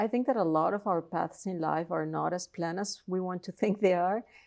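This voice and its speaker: Against a quiet background, a woman with a Colombian accent speaks at a fairly low pitch. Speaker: philosophy professor. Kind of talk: interview.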